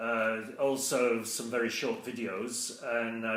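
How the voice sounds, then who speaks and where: A man with a British accent, medium pitch, fairly even intonation and a fairly slow pace. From England. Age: 60s. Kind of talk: casual talk to camera. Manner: hesitant, conversational.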